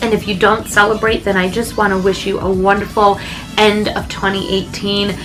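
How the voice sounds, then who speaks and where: A woman at a moderate pace, amid noticeable background noise and audible room echo. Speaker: vintage lifestyle vlogger. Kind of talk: casual chat.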